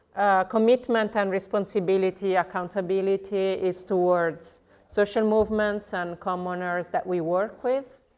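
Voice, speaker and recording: A woman with an Italian accent at a medium pitch, moderate pace, fairly even intonation, hardly any pauses and a quiet background. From southern Italy. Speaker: legal researcher at a commons NGO. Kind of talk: conference presentation.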